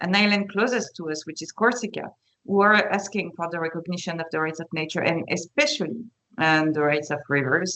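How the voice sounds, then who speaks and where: In a French accent, a woman speaks with a fairly low pitch and ordinary pitch variation. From France. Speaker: panelist. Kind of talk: webinar panel talk. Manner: halting, many fillers.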